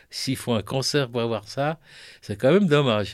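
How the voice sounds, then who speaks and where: A man speaks in a plain, everyday voice at a medium pitch. His pace is moderate, and his pitch variation ordinary. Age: 60s. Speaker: breast cancer survivor and poet. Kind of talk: scripted narration.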